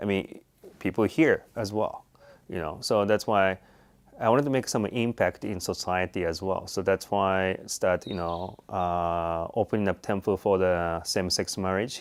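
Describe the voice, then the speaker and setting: A man talks in a Japanese accent. His pitch is very deep and low, with ordinary pitch variation. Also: moderate pace. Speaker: Buddhist priest. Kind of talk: interview. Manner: halting, many fillers.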